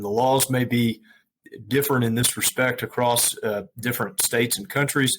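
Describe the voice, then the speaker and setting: A man's medium-pitched voice with an American accent, at a moderate pace. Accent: US Southern accent, remarked on. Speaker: estate planning lawyer. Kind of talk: interview. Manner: many fillers (uh, um).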